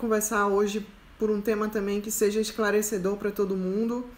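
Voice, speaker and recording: A woman speaks at a medium pitch and moderate pace in a flat monotone. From interior of Pernambuco, Brazil (Araripina). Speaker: self-knowledge coach. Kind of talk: live stream Q&A talk. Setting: live stream.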